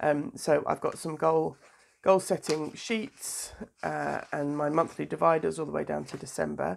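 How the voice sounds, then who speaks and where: A woman speaks with a British accent at a moderate pace. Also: very clean recording, silent background. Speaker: doula and planner vlogger. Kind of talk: casual vlog tutorial. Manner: hesitant, many fillers.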